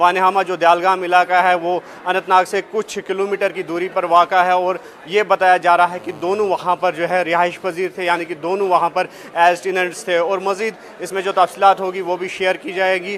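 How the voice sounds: Pitched high for a man, this voice has a fairly bright tone and little pitch movement. He speaks with few pauses over faint background noise. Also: moderate pace.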